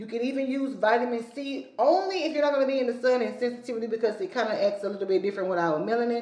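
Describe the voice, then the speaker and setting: Pitch swings very widely throughout. Noticeable background noise and audible room echo fill the recording. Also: woman. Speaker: skincare educator. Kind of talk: tutorial. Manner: fast.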